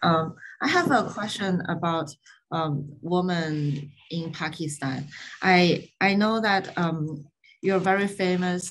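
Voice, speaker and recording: The somewhat breathy voice moves at a very slow pace with ordinary pitch variation over light background noise. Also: woman, fairly low pitch for a woman. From China. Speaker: architecture student. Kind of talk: audience question. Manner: hesitant. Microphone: video call.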